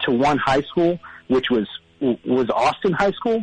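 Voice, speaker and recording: A man talks at a moderate pace with lively intonation and a fairly high pitch. The sound is dry and close with no echo, though noticeable background noise comes through. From South Texas, Corpus Christi. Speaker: caller. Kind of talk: call-in chat.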